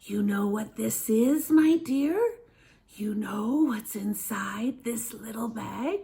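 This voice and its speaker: A put-on character voice whispers, creaky and raspy. The pace is very slow. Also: woman. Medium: read story. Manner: whispering, wheedling.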